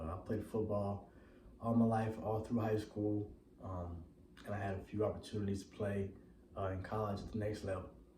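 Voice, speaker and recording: In an American accent, a man with a fairly low pitch speaks at a moderate pace in a monotone, flat intonation, with long, frequent pauses and audible room echo. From Texas, Waco. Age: 20s. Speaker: personal trainer. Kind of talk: personal testimony. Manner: halting, many fillers.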